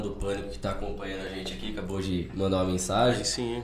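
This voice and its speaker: Amid noticeable background noise and audible room echo, a man rattles along at a very fast pace with lively intonation. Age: 20s. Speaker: bar and restaurant entrepreneur. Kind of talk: casual chat.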